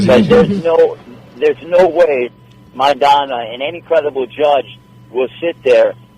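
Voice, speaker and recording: Over noticeable background noise, a man speaks in a fairly high voice. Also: ordinary pitch variation, moderate pace. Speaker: sports anchor and boxing ring announcer. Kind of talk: podcast interview answer about boxing. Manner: conversational, friendly, talkative.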